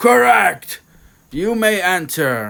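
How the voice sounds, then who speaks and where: A man performs a put-on character voice, raised and projected. His pitch is high and swings very widely. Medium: read story. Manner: gruff, scornful.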